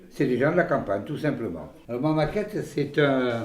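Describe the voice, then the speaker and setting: In a room with audible echo, a man speaks at a fairly high pitch with ordinary pitch variation. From Gironde, southwest France. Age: 60s. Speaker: village hairdresser. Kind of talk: casual interview talk. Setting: in his hair salon while cutting hair. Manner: halting, many hesitations.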